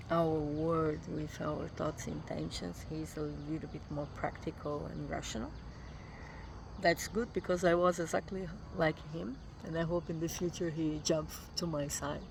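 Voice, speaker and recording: A woman speaks at a moderate pace in a Brazilian accent. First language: Portuguese. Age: 50s. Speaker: vlogger. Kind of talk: casual vlog monologue. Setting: morning self-recorded travel vlog. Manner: halting, with fillers and repetitions.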